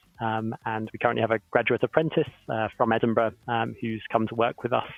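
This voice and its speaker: The man speaks fairly quickly. There is music behind his voice. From southern England, Oxford. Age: 30s. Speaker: professor and company co-founder. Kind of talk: panel Q&A on live stream.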